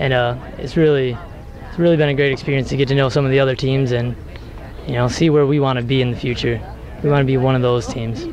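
Over light background noise, a man talks very fast in a flat monotone, the sound dry with no echo. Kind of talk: interview answer. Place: street. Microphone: handheld.

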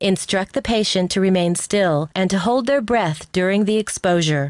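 A woman speaks in a normal speaking voice at a medium pitch and a moderate pace, her intonation lively. The sound is dry and close with no echo, on a very clean recording with a silent background. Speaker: instructional video narrator. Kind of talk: scripted narration. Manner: formal.

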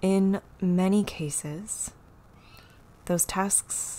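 Her tone is gentle, dark and mellow. The woman's intonation stays fairly even. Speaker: yoga and meditation teacher. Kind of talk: guided meditation. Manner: gentle, instructional. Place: home room.

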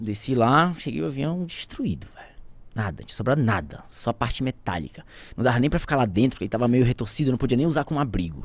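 At a very fast pace, a man talks at a medium pitch with lively intonation. Vocal fry runs through his voice. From Santarém, Pará, Brazilian Amazon. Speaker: pilot and plane crash survivor. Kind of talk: casual interview storytelling.

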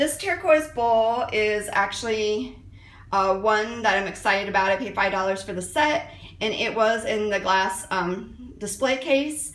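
Fairly slow female speech amid audible room echo. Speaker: thrift haul vlogger. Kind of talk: casual vlog chat. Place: kitchen. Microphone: phone near.

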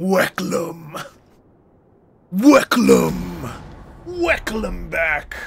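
Using a put-on character voice, a man speaks raspy and high-pitched. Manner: gruff, welcoming.

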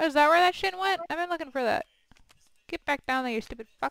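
A woman speaks at a high pitch and a fairly quick pace with lively intonation. The sound is dry and close, with no echo. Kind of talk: casual gaming chat. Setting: video call. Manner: casual, profane.

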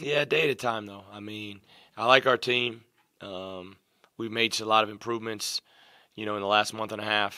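A man talks in a fairly low pitch with a bright, sharp tone. His pace is moderate, his intonation fairly even, and the background is quiet. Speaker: basketball head coach. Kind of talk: interview answer. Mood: calm, pleased after win. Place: meeting room. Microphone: podium.

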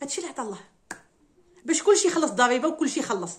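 High-pitched woman with an animated tone, talking at a very fast pace. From Morocco. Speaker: YouTuber commenting on social news. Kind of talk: casual monologue answering viewer questions. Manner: animated, emotional. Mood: indignant, complaining. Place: home room. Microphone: phone near.

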